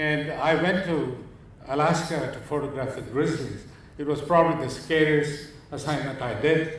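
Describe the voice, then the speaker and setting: At a fairly slow pace, a man speaks with a fairly high pitch amid audible room echo and noticeable background noise. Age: 70s. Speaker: photographer. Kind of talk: lecture.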